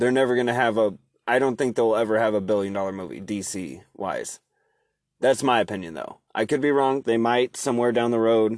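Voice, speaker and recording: With an American accent and an unremarkable speaking voice, a man talks at a fairly quick pace and medium pitch, his pitch varying in an ordinary way against a quiet background. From Oregon. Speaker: podcast host and HVAC tech. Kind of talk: casual chat. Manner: casual, rambling with fillers.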